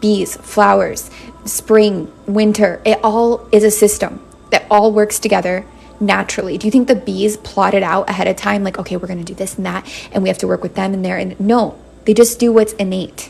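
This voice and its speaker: Over noticeable background noise, a woman speaks at a fairly quick pace in a medium pitch with monotone, flat intonation. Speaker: tarot reader. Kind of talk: live-stream tarot reading. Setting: live stream.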